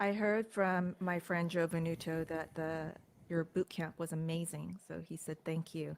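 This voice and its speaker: In a very clean recording with a silent background, a woman with an American accent talks fairly slowly at a fairly low pitch, her intonation monotone and flat. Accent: sounds American. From United States. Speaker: crypto commentator. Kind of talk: casual livestream chat.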